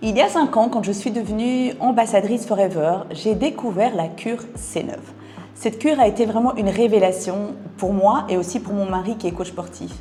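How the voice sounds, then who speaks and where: A woman talks at a moderate pace in a medium pitch. Her pitch varies in an ordinary way, and there is noticeable background noise. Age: 50s. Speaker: wellness product seller. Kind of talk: sales pitch.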